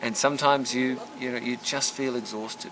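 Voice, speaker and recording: A man talks at a fairly quick pace in a medium pitch. Noticeable background noise runs behind him. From Australia. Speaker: former diplomat. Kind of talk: reunion interview.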